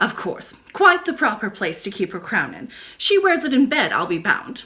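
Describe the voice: Putting on a character voice, a woman speaks at a moderate pace in a bright, sharp tone with very wide pitch swings, and room echo is audible. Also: medium pitch for a woman.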